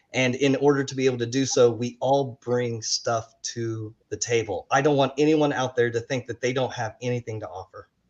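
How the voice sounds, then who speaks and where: Speaking at a moderate pace with hardly any pauses, a man holds a medium pitch in a monotone, flat intonation. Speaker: resiliency and leadership coach. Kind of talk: panel discussion.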